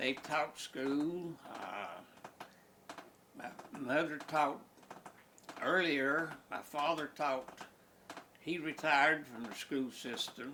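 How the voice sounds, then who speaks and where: With an Appalachian accent and fairly high pitch, a man talks at a very slow pace with fairly even intonation and long, frequent pauses over noticeable background noise. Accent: Appalachian Southern US. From Southwest Virginia. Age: 90s. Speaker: elderly man recalling his life. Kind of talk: interview reminiscence.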